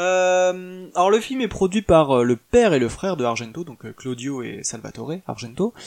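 Speaking at a high pitch with very wide pitch swings, a man goes at a fairly slow pace with hardly any pauses. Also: big swings in loudness, quiet background. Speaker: podcast host reviewing films. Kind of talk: solo podcast monologue. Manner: halting, many filler words.

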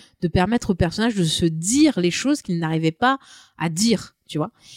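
A woman speaks at a fairly quick pace with lively intonation, the sound dry and close with no echo. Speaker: podcast co-host. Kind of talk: casual chat. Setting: studio with portable recorder.

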